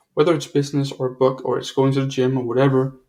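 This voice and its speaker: The voice belongs to a man. It comes across as somewhat breathy. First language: not English. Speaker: author and entrepreneur. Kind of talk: interview. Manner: halting, many repetitions.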